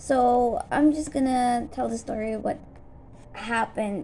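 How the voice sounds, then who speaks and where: A woman mumbles at a fairly slow pace. Her voice is fairly high and somewhat breathy. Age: 20s. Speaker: vlogger. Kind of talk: personal vlog update. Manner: stutters and mumbles; halting, many fillers.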